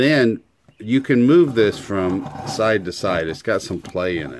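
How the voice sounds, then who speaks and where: Light background noise behind a male speaker. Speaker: hobbyist demonstrator. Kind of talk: tutorial. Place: workshop. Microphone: phone near.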